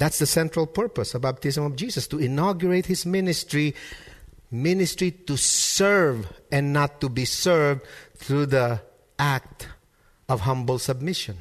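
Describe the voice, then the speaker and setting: With lively intonation and a somewhat breathy sound, a man talks at a moderate pace and a fairly high pitch. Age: 30s. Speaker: pastor. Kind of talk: sermon. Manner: repeats words when starting sentences.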